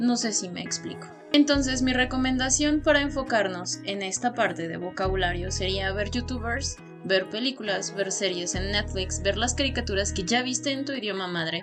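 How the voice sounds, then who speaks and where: A woman talks with a Mexican accent. Music plays in the background. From Mexico. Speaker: language learning youtuber. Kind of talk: educational talk to camera.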